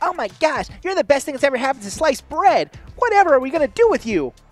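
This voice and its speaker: A squeaky, high-pitched character voice is put on at a very fast pace. Faint music plays in the background. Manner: gushing, exaggerated.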